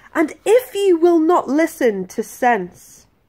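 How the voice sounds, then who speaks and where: Very slowly, a woman speaks in a playful, sing-song way. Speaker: patient advocate. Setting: video blog to camera. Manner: rhythmic, sing-song delivery of rhymes with playful emphasis; earnest, sincere and hopeful when speaking about the campaign. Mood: earnest, indignant. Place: home room. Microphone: phone near.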